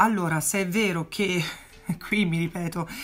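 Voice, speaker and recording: A woman at a fairly low pitch, a normal speaking voice, fairly even intonation and a fairly slow pace. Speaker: makeup artist and beauty YouTuber; beauty vlogger. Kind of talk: casual vlog Q&A. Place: home room. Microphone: phone near.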